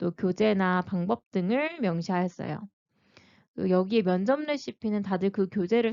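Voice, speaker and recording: A woman has a plain, everyday voice at a medium pitch. She talks at a moderate pace with ordinary pitch variation. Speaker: teacher-librarian and exam-prep youtuber. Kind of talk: tutorial.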